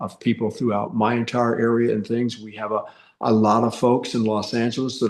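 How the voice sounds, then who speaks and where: At a medium pitch and fairly quick pace, a man talks in monotone, flat intonation. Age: 60s. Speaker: soap opera actor. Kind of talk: casual interview. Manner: halting, many fillers and repeats.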